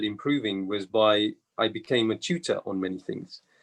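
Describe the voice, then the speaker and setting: With a British accent, a man speaks at a very slow pace. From England. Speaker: accountant and business partner. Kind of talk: webinar interview.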